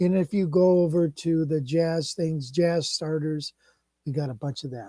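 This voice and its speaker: Recorded with a dry, close sound and no echo, a man talks at a moderate pace in a dark, mellow tone, with a fairly high pitch and ordinary pitch variation. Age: 60s. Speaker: guitar teacher. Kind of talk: live stream chat with lesson. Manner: casual, halting with fillers.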